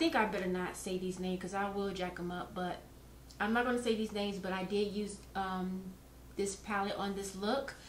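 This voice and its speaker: Over noticeable background noise and audible room echo, a woman talks at a fairly quick pace. Her pitch is medium and her intonation fairly even. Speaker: beauty vlogger. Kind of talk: tutorial. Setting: recorded voiceover. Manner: halting, stumbling over words.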